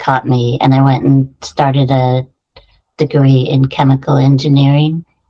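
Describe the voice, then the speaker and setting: With an American accent, a woman speaks at a fairly slow pace in a very deep, low pitch, her dark, mellow tone flat and monotone at a very even loudness. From US, San Francisco Bay Area. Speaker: qualitative researcher and career coach. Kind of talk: interview.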